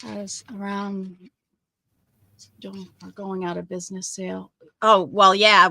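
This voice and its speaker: Marked by long, frequent pauses and big swings in loudness, a woman with an American accent speaks at a medium pitch in monotone, flat intonation with a bright, sharp tone. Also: fairly slow pace. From New England (Maine/Massachusetts). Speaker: crafter demonstrating paper weaving. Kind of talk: craft tutorial livestream chat. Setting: live video stream.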